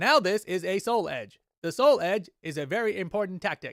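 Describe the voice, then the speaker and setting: In a very clean recording with a silent background, a man puts on a high-pitched character voice at a moderate pace. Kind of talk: stiff script reading. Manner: stilted, dopey.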